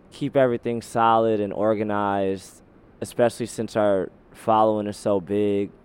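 A man speaks in a plain, everyday voice, fairly low in pitch, with fairly even intonation. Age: 20s. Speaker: protest organizer and chef. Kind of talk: interview.

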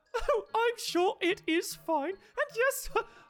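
Very slow and squeaky, this put-on character voice sits at an extremely high pitch. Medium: actual play. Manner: warm, polite, slightly fussy.

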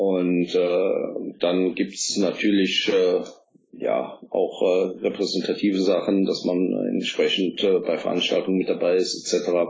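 A man speaks very slowly, his loudness very even. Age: 50s. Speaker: politician and works council chair. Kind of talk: interview. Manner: hesitant fillers.

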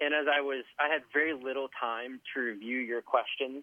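This is a man with a normal speaking voice. His pitch is fairly high. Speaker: guest, former coworker and ultra runner. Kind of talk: casual conversational interview. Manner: joking, teasing.

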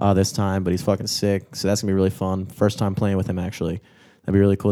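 A man's fairly low voice with a dark, mellow tone. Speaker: podcast co-host and gigging musician. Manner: professional-sounding delivery.

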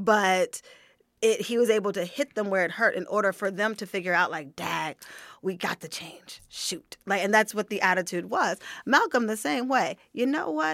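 On a very clean recording with a silent background, a woman with an American accent speaks at a moderate pace in a dry, close sound with no echo. She has an unremarkable speaking voice, medium in pitch, with ordinary pitch variation. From Pittsburgh, Pennsylvania. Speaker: Buddhist practitioner, discussion guest. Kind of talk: casual discussion.

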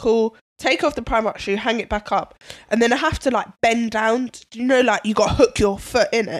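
A woman speaks with a London accent at a fairly quick pace. Her voice sits fairly high. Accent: London (MLE). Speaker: podcast co-host. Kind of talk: casual chat. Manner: animated storytelling.

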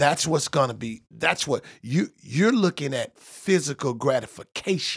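A man with a fairly high, somewhat breathy voice talks at a fairly slow pace with hardly any pauses and lively intonation, on a very clean recording with a silent background and a dry, close sound with no echo. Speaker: preacher, bishop. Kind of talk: casual conversation, preaching tone. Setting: studio.

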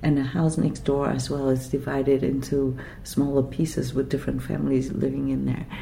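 A woman at a fairly quick pace, very even in loudness, against noticeable background noise. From Vietnam (Saigon), then Quebec from age 10. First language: Vietnamese / French. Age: 50s. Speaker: writer. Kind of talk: interview conversation. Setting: writers' festival venue.

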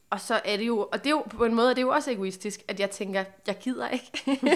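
Talking very fast, this woman keeps her pitch in a medium range. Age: 20s. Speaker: podcast host. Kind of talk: casual chat.

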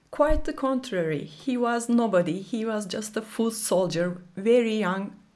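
A woman's ordinary speaking voice with lively intonation. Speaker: documentary filmmaker and professor. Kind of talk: interview.

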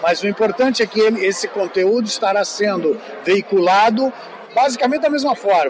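Over crowd noise in the background, a man with a high pitch speaks with lively intonation. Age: old. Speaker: veteran TV journalist. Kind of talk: interview.

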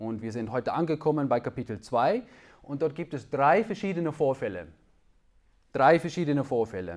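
Speaking with a Dutch accent, a man uses fairly high pitch, very wide pitch swings and vocal fry at a moderate pace. Long, frequent pauses break up his speech on a very clean recording with a silent background. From Netherlands. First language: Dutch (speaking German). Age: 30s. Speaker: preacher. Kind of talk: sermon. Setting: church.

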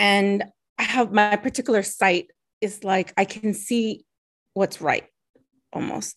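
A woman with a plain, everyday voice at medium pitch and a moderate pace, over a quiet background. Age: 40s. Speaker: guest. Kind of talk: casual interview. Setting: video call.

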